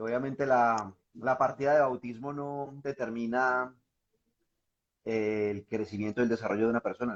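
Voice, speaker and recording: In a Pereira accent, a man speaks with big swings in loudness against a quiet background. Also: medium pitch for a man, fairly even intonation, moderate pace. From Colombia, Pereira. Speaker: reporter and writer. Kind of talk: casual interview. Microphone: sounds far away.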